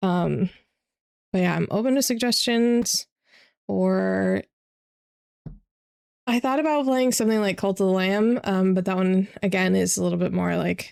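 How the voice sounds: A woman speaks at a medium pitch and moderate pace, with fairly even intonation, a slightly mellow tone and vocal fry. Long, frequent pauses break her speech in a very clean recording with a silent background.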